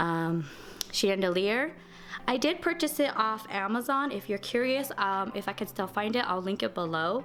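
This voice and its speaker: Over music in the background, a woman speaks at a moderate pace and a medium pitch with very wide pitch swings. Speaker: home lifestyle vlogger. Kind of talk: home tour vlog. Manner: casual, with fillers.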